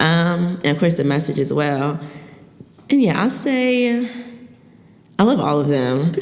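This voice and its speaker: Long, frequent pauses break up a woman's speech in an American accent, her pitch swinging very widely amid noticeable background noise and audible room echo. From Philadelphia. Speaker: spoken word poet. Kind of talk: podcast interview. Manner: halting, many fillers.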